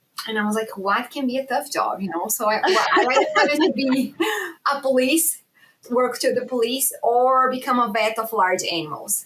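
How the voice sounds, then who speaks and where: A woman with a Brazilian accent, high pitch, lively intonation and moderate pace. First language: Portuguese. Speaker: animal science professor. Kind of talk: podcast interview.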